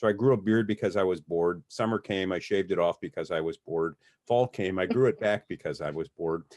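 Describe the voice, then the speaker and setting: A man speaks at a very fast pace with a very deep, low pitch. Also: ordinary pitch variation. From US Midwest, Detroit, Michigan. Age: 60s. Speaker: criminal defense lawyer. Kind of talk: casual interview. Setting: podcast. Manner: halting, many repeated words.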